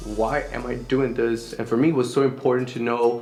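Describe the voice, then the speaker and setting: Over background music and audible room echo, a man with a Spanish accent speaks at a fairly quick pace and a medium pitch in a monotone, flat intonation. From El Salvador. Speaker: singer-songwriter. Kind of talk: interview.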